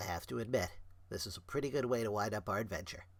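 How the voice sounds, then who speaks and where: A man puts on a character voice at a medium pitch. He speaks at a very fast pace. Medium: read story.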